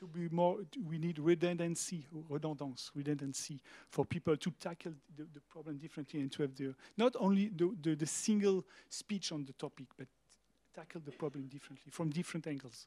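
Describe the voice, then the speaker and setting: A man with a French accent, fairly high pitch and a dark, mellow tone, ordinary pitch variation, big swings in loudness, a fairly quick pace, and a dry, close sound with no echo. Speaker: museum director. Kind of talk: panel discussion. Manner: halting.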